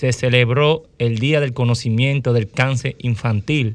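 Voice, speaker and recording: A man with a Dominican accent talks at a medium pitch. He keeps a fairly slow pace and fairly even intonation. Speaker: physician.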